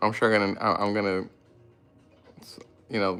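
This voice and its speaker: Over background music, a man talks in a flat monotone at a fairly low pitch. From Mexican-American family, grew up in US with Spanish at home. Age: 30s. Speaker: lawn care business owner, YouTuber. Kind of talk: casual livestream Q&A. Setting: live stream. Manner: halting, many fillers and restarts.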